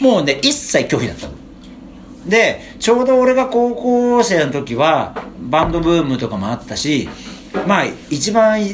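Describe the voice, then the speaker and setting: A man speaks at a high pitch with very wide pitch swings and long, frequent pauses. Audible room echo surrounds his voice. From Japan, Chiba (Funabashi). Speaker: musician, band vocalist. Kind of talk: casual chat.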